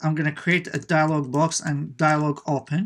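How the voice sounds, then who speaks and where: Someone with an American accent speaks at a moderate pace in a very clean recording with a silent background. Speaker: web development tutor. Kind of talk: coding tutorial. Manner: casual, with many fillers.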